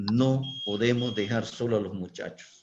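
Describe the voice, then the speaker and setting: This man speaks very slowly at a medium pitch. His pitch moves in an ordinary way. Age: 60s. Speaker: school director. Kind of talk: panel discussion.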